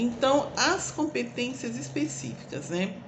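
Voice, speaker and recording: With audible room echo and noticeable background noise, a woman speaks at a fairly slow pace using very wide pitch swings. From Brazil, interior of São Paulo state. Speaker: teacher educator. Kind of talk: lecture. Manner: casual, with fillers.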